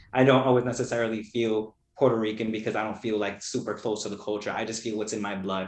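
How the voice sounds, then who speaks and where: A man talks very fast in an American accent. The room echo is audible. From Brooklyn, New York. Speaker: poet. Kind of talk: casual interview chat.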